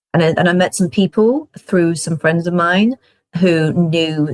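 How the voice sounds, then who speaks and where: In a dry, close recording with no echo, a woman with a British accent speaks at a fairly low pitch with ordinary pitch variation. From UK. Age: 40s. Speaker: film festival consultant. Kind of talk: interview conversation.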